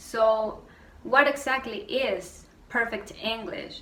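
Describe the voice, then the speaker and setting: A woman with a Spanish accent, ordinary pitch variation, audible room echo and noticeable background noise. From Venezuela. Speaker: YouTuber. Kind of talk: rant vlog. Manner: animated.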